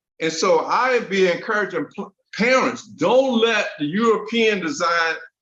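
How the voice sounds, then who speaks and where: His voice is raised and projected. The speaker is a man. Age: old. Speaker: talk show host. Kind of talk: casual chat. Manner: halting, repetitive.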